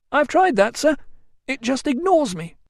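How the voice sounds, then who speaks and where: A man's put-on character voice, pitched extremely high, at a moderate pace. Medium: read story. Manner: deferential, anxious.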